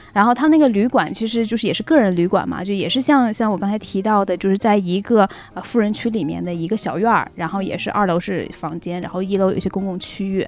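Barely pausing, a woman rattles on at a very fast pace and medium pitch with ordinary pitch variation over noticeable background noise. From Northeast China. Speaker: returning guest sharing travel and work experiences. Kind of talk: casual chat. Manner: halting, many fillers.

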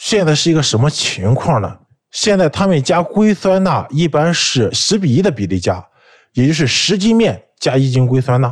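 At a moderate pace, a man speaks in a fairly high, somewhat breathy voice with very wide pitch swings and very even loudness, recorded very cleanly against a silent background. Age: 30s. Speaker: food fraud fighter, food engineer. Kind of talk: first-person storytelling.

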